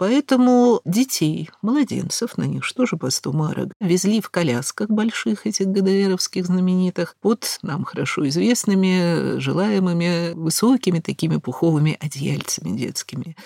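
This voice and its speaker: With a Moscow accent, a woman with a fairly low pitch and a dark, mellow tone speaks fairly slowly with hardly any pauses and very wide pitch swings, in a dry, close sound with no echo. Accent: Russian (Moscow). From Moscow, Russia. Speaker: historian lecturer. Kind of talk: lecture. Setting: studio.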